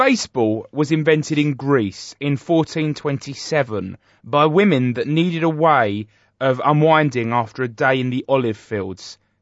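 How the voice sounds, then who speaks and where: A man talks at a moderate pace with a fairly high pitch. He has ordinary pitch variation and speaks with a British accent. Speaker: comedy podcast host. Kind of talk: mock celebrity interview.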